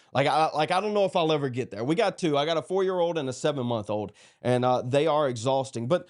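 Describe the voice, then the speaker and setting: A man speaks in a South Carolina accent at a very fast pace. His intonation is lively. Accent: Southern US (South Carolina). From US South, South Carolina (Dillon). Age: 30s. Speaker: political streamer. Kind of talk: livestream monologue. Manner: casual, halting with fillers.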